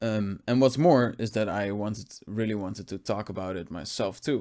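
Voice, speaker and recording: This man has a dark, mellow tone and a fairly low pitch with ordinary pitch variation, heard in a very clean recording with a silent background. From Netherlands. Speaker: video essayist on classical music. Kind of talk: casual video podcast talk. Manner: halting, with many fillers.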